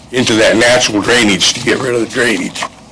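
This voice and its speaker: Medium pitch from a man, delivered at a moderate pace amid noticeable background noise. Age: 70s. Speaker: local resident speaking at public hearing. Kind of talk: public comment.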